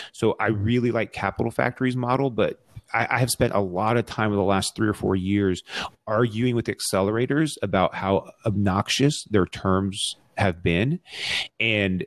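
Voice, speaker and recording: In a dry, close sound with no echo, a man with an unremarkable speaking voice talks at a fairly low pitch and moderate pace, with ordinary pitch variation and very even loudness. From Texas, Arlington. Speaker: startup lawyer. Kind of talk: casual interview. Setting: remote recording from home.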